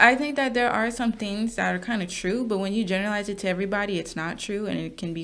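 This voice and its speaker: A woman with an American accent talks very fast at a medium pitch with ordinary pitch variation, and the room echo is audible. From US Midwest, Wisconsin suburbs. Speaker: podcast co-host. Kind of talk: casual chat.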